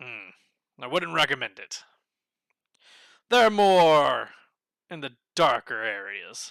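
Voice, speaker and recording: A man uses a put-on character voice at a fairly high pitch. He goes at a fairly slow pace with long, frequent pauses, in a very clean recording with a silent background. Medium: actual play. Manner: measured, courteous.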